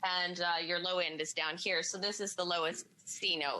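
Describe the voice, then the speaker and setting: Her fairly low-pitched voice has a bright, sharp tone, and this woman keeps a moderate pace. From British Columbia, Canada. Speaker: country musician. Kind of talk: TV interview.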